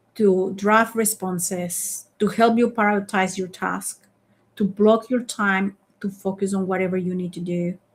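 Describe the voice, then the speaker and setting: A woman with a non-native accent speaks at a fairly slow pace. Her voice is somewhat breathy and her intonation monotone and flat. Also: medium pitch for a woman. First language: not English. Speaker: leadership coach and founder. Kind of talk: live online masterclass. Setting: online live stream.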